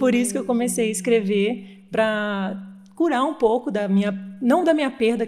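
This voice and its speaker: A woman is talking. Her pitch is fairly high. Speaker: wedding celebrant. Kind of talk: interview answer.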